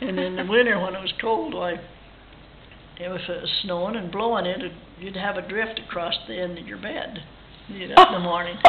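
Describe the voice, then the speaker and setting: Fairly quick speech with long, frequent pauses, big swings in loudness and ordinary pitch variation, plus audible room echo and noticeable background noise. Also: woman, medium pitch for a woman. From Idaho, US. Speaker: ranch family elder. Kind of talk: oral history interview. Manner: halting.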